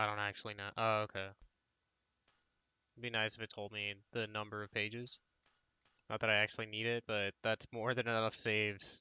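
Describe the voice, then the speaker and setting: A quiet male voice, bright and sharp in tone, monotone and flat, at a fairly quick pace broken by long, frequent pauses. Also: fairly low pitch for a man, dry, close sound with no echo. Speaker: game streamer. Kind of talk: let's play commentary. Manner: casual, conversational. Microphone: voice quiet compared to game audio.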